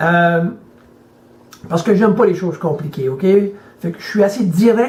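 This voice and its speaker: Delivered at a moderate pace, this voice has a dark, mellow tone and ordinary pitch variation. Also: man. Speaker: motivational speaker and life coach. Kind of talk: motivational video message. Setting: hotel room. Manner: halting, repeats words.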